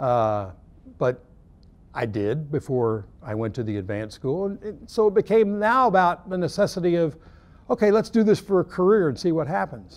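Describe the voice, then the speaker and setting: Speaking at a moderate pace, a man uses a high pitch and very wide pitch swings. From Oklahoma. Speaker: baseball umpire coordinator. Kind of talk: interview. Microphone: lapel.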